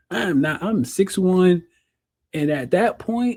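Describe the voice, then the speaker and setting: Somewhat breathy and dark, mellow in tone, a man with an American accent speaks with lively intonation in a very clean recording with a silent background. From North Carolina, Durham. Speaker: blind motivational speaker and podcast host. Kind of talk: casual podcast monologue, storytelling. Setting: video podcast. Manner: animated, conversational with fillers and self-corrections.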